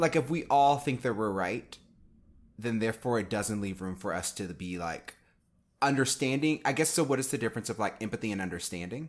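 Lively in intonation, a man with an American accent talks at medium pitch and a fairly quick pace on a very clean recording with a silent background. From Texas (Houston). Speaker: actor and activist, podcast co-host. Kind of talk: casual chat.

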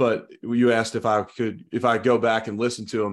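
Here a man has a normal speaking voice. He talks at a medium pitch and a moderate pace. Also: very clean recording, silent background. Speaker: former football player turned sports commentator. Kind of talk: casual chat.

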